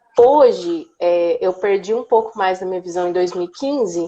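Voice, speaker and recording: A woman talks at a fairly slow pace, keeping her intonation fairly even. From Brazil, Minas Gerais (Uberlândia). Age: 20s. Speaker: accessibility speaker, former history teacher. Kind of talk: casual interview on live stream. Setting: Instagram live video call.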